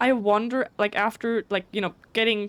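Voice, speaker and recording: Over a silent background in a very clean recording, a woman with a German accent talks at a fairly high pitch. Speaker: video game streamer. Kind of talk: casual chat. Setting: live stream. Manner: fast; stuttering.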